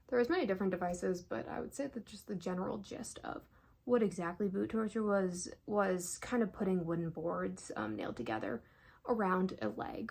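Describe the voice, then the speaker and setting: This woman's voice sits at medium pitch, swings very widely in pitch and carries vocal fry. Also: moderate pace. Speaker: ASMR educational content creator. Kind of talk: educational ASMR, casual talk to camera. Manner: soft-spoken, casual, conversational.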